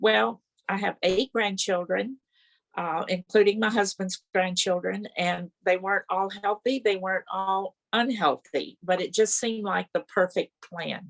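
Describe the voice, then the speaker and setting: Recorded dry and close with no echo, a woman with a Texan accent speaks at a fairly slow pace, medium pitch, and ordinary pitch variation. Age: 80s+. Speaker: network marketing distributor. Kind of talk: testimony; speaker introduction. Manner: reading aloud.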